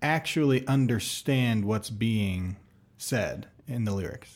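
This man talks very slowly. The recording is spotless, with total silence behind him. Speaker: podcast host. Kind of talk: casual interview.

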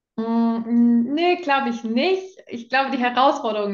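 Speaking fairly slowly, a woman uses a fairly high pitch and an unremarkable speaking voice. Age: 20s. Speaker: coaching client sharing her experience. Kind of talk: testimonial interview.

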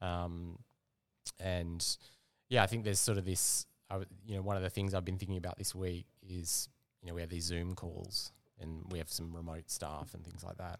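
A man with an Australian accent speaks at a very deep, low pitch and a moderate pace. His intonation is monotone and flat, and the recording is very clean with a silent background. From Western Australia, Perth. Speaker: product manager. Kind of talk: casual interview. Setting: cafe.

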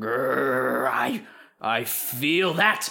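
A man puts on a character voice that is raspy and growling.

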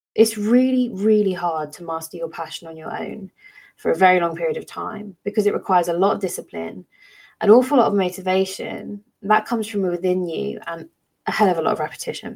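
An unremarkable speaking voice moves at a fairly quick pace with ordinary pitch variation and big swings in loudness. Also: woman, medium pitch for a woman. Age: 30s. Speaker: teacher and podcast host. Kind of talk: solo educational podcast talk.

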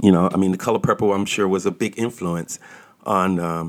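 A man with a very deep, low pitch and ordinary pitch variation is heard on a very clean recording with a silent background. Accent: American. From US South, Georgia then Washington DC. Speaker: podcast host. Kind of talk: angry political rant. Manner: angry, fed-up, indignant; halting, filler-heavy.

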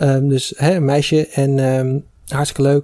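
Fairly high in pitch, a man's voice sits over noticeable background noise. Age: 20s. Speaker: recent engineering graduate. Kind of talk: casual chat.

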